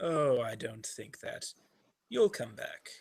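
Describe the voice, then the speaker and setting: A man puts on a character voice. It sits fairly high in pitch and moves at a fairly slow pace. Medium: actual play. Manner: taunting, sing-song repetition.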